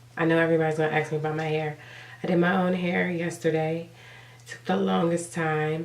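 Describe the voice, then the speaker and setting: Her pitch is very deep and low as the woman talks at a moderate pace. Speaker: beauty vlogger. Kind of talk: casual talk to camera.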